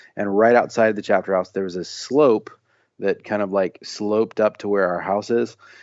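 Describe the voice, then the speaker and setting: A man with an American accent and a fairly low voice speaks at a moderate pace with fairly even intonation in a normal speaking voice. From US Midwest, Illinois near Saint Louis, then Tennessee. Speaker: singer-songwriter and author. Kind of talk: casual interview.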